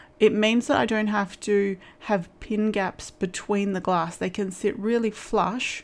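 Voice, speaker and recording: The delivery comes in an Australian accent with a relaxed tone, fairly even intonation and a moderate pace. The recording is very clean, with a silent background. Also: woman. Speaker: stained glass crafter. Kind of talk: tutorial. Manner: casual with fillers.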